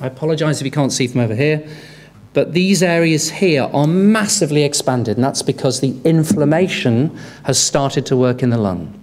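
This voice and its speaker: The pace stays moderate. The speaker is a man. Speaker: conference presenter. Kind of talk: lecture. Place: hall. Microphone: podium.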